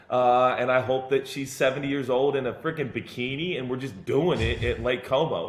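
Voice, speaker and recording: Audible room echo surrounds a man's voice. He speaks at a moderate pace in an animated tone. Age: 40s. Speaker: pastor. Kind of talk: casual chat. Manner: halting.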